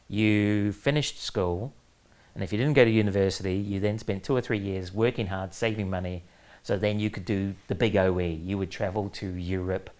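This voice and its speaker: Speaking with a New Zealand accent, a man keeps a fairly low pitch, fairly even intonation and a moderate pace. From New Zealand, Auckland. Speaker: author and former comics editor. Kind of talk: interview. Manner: hesitant with fillers.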